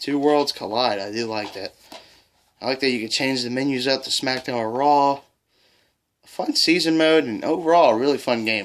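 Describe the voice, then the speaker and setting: Using a plain, everyday voice, the man holds a medium pitch and moderate pace, his pitch varying in an ordinary way. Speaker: gaming YouTuber. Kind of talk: video game collection showcase. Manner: casual.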